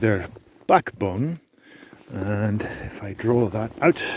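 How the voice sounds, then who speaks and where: A man talks at a very slow pace with ordinary pitch variation while noticeable background noise continues. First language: not English. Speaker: sheep farmer. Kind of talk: tutorial. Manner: halting.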